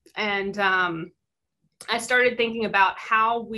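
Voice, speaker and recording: A bright, sharp voice with a slight Mississippi accent speaks at a moderate pace. The intonation stays fairly even over a quiet background. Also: woman. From US South, Mississippi Delta. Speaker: visual artist and university teacher. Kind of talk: artist talk presentation. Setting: video call.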